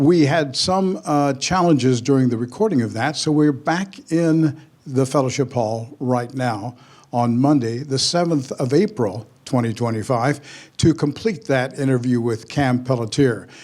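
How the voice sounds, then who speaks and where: A plain, everyday voice from a man, medium in pitch, at a fairly slow pace, on a very clean recording with a silent background. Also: ordinary pitch variation. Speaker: pastor. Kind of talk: interview questions.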